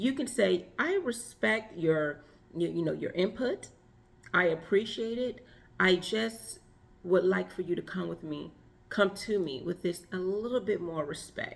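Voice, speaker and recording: A woman at medium pitch, using vocal fry and lively intonation at a fairly slow pace. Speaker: relationship and femininity coach. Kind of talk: advice monologue.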